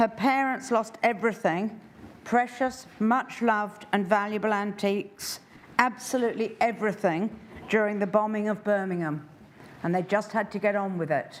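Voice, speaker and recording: An unremarkable speaking voice from a woman, fairly high in pitch, at a moderate pace with fairly even intonation. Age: 60s. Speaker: public submitter. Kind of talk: public submission. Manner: formal.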